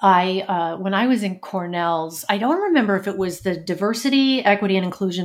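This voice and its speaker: A woman speaks at medium pitch in a plain, everyday voice. Her pitch varies in an ordinary way. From New York, Brooklyn. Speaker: leadership coach. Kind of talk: interview.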